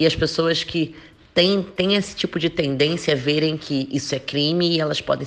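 A woman with a very deep, low pitch and ordinary pitch variation talks at a moderate pace. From Rio de Janeiro, Brazil. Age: 20s. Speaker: athlete. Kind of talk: podcast interview.

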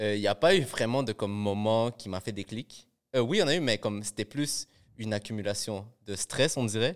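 On a very clean recording with a silent background and a dry, close sound with no echo, a man with an unremarkable speaking voice talks fairly quickly at a fairly low pitch with ordinary pitch variation. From Montreal area (Laval), Peruvian family. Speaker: rapper. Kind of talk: casual chat.

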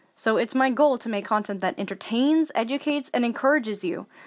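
Lively intonation marks a woman's unremarkable speaking voice, delivered at a fairly quick pace in an American accent. The recording is very clean with a silent background. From Alaska, US. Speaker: artist and vlogger. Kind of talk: scripted monologue.

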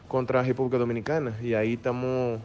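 A man speaks in a flat, monotone way while music plays in the background. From Brazil. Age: 30s. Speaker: professional baseball player. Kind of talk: interview. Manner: halting.

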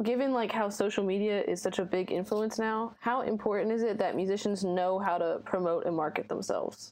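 A plain, everyday voice at a fairly quick pace, with very even loudness and fairly even intonation. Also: woman, medium pitch for a woman. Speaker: podcast co-host. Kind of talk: interview.

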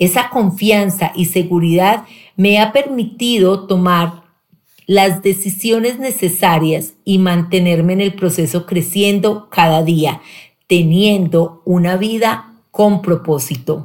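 At a very slow pace and very even loudness, a woman talks at medium pitch. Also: ordinary pitch variation. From Colombia, Pereira. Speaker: sales director. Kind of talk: personal testimony, read from script.

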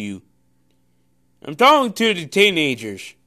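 A man speaks in a raised, projected voice, bright and sharp in tone, pitched high for a man with very wide pitch swings, on a very clean recording with a silent background. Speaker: preacher. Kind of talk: sermon; pep talk. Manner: forceful, repeats lines for emphasis; hesitant, with many filler sounds.

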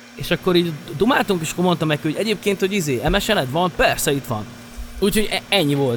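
A man's high-pitched voice at a very fast pace, with noticeable background noise. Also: lively intonation. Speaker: DJ and music producer. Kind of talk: casual interview chat.

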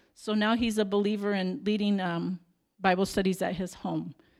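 An unremarkable speaking voice moves at a moderate pace. Its intonation stays fairly even. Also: woman. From Arizona, Tucson. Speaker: missionary nurse. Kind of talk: slideshow presentation. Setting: church.

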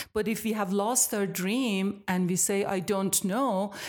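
At a fairly slow pace, a woman with an Iranian accent speaks at medium pitch with fairly even intonation. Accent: Iranian (Persian) accent in English. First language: Persian. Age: 60s. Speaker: yoga teacher and studio owner. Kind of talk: interview.

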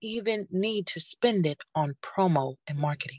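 This woman has a plain, everyday voice, fairly low in pitch with lively intonation, in a dry, close sound with no echo. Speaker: rapper, singer, songwriter and author. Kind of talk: casual interview chat.

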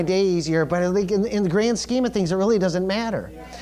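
Talking at a fairly quick pace, a man is heard with noticeable background noise around him. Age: 40s. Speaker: pastor. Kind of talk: sermon.

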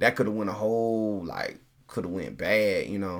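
Speaking in a strong Southern US accent, a man keeps a fairly low pitch and fairly even intonation. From Tennessee, raised in Colorado. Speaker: father guest. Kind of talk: casual chat.

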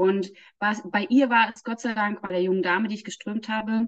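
A woman with a fairly high, somewhat breathy voice talks at a moderate pace. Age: 40s. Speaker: energy healing trainer. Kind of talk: casual interview.

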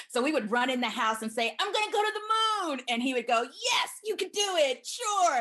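With noticeable background noise behind her, a woman with an American accent speaks at a moderate pace, her pitch swinging very widely. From US South, Huntsville, Alabama. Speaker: physician (OB-GYN). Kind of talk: interview.

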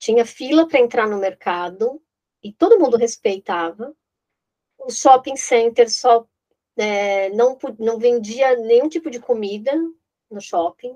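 A woman with a fairly high pitch speaks at a fairly slow pace, with ordinary pitch variation, big swings in loudness and long, frequent pauses. The sound is dry and close, with no echo. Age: 50s. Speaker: real estate consultant. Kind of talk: interview. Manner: halting.

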